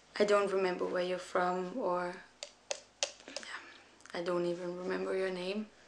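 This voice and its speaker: A woman's medium-pitched, monotone voice with flat intonation, a fairly slow pace and long, frequent pauses, over noticeable background noise. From Denmark. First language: Danish. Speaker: young mother. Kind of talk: personal appeal video. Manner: halting.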